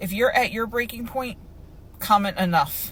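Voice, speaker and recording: At a fairly quick pace, this woman talks with ordinary pitch variation. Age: 40s. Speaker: group home worker. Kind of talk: personal testimony.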